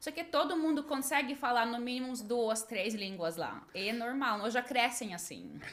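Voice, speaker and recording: Her voice high, a woman speaks with lively intonation. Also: moderate pace. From Latvia, Riga. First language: Russian and Latvian (speaking Portuguese). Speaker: English teacher and translator. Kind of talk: podcast interview.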